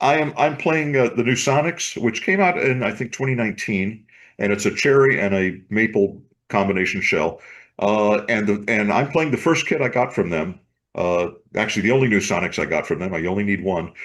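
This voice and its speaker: Against a quiet background, a man speaks at a fairly low pitch with lively intonation. He has a plain, everyday voice. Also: fairly quick pace. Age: 60s. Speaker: drummer. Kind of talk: casual chat.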